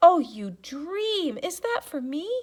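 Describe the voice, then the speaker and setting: A woman uses a squeaky, put-on character voice, raised and projected, at an extremely high pitch with very wide pitch swings. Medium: read story. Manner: chatty, effusive.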